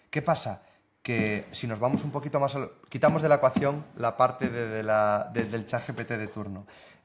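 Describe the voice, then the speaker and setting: A man's moderate-paced speech, with ordinary pitch variation, sits over noticeable background noise. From northern Spain. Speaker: software developer and content creator; content creator. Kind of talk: casual interview. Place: home room.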